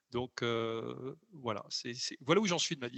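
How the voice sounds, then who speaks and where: A man at medium pitch, speaking at a fairly slow pace. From southern France (Occitanie). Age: 50s. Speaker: learning researcher and author. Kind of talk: interview conversation. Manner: hesitant, many fillers and repetitions.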